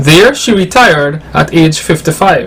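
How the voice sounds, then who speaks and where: There is noticeable background noise as a man speaks. His pitch varies in an ordinary way. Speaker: TV news reporter. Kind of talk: TV news report.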